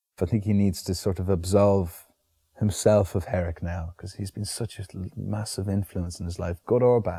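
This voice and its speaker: In a dry, close sound with no echo and a very clean recording with a silent background, a man speaks at a moderate pace in a very deep, low pitch, his dark, mellow tone somewhat breathy and his intonation fairly even. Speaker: actor. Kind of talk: interview answer. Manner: soft-spoken, relaxed.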